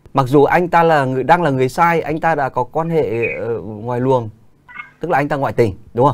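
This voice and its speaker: A man speaks at a fairly high pitch with ordinary pitch variation. Noticeable background noise can be heard. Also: moderate pace. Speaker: radio host. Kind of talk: live radio call-in. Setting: studio. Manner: formal.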